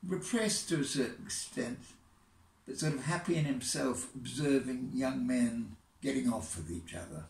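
Vocal fry colors this man's medium-pitched voice, which swings very widely in pitch amid audible room echo. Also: moderate pace. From England. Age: 80s+. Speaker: poet. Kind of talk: casual talk to camera. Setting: outdoors. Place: home room. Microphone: phone near.

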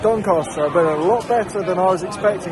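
A man talking at a very fast pace with ordinary pitch variation, crowd noise behind him. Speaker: football vlogger. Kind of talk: casual vlog chat. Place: stadium. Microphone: phone near.

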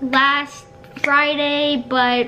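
A woman's raised, projected voice over light background noise. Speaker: vlogger. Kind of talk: casual vlog chat. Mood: playful, mock sad. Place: home room.

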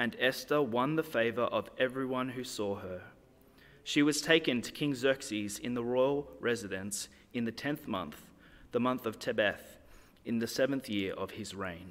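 The speaker uses ordinary pitch variation at a moderate pace. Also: man. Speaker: church reader or pastor. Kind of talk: scripture reading. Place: church. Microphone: podium.

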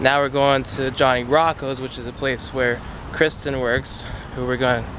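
Over clear background noise, a man talks at a moderate pace with little pitch movement. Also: medium pitch for a man.

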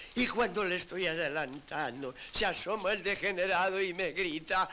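A man talks in a raised, projected voice at a fairly slow pace. His pitch swings very widely. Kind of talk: acted dialogue, telling a story. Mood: indignant, aggrieved storytelling. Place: home room.

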